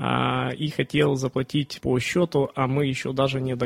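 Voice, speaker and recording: Against noticeable background noise, a man speaks in a monotone, flat way. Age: 30s. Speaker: online bookstore owner, entrepreneur. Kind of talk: interview. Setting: studio. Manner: halting, many fillers.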